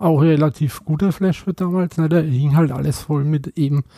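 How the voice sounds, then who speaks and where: This man talks at a moderate pace with a Franconian accent, a dark, mellow, somewhat breathy tone, fairly high pitch and fairly even intonation. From Franconia, Bamberg. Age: 50s. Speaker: tattoo artist. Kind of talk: casual chat. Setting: at home.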